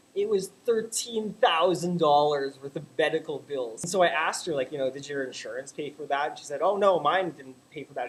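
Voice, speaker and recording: With a Canadian accent, a man speaks fairly quickly and animatedly at a fairly high pitch, his pitch varying normally over noticeable background noise. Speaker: vlogger. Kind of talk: casual vlog rant. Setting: home webcam recording.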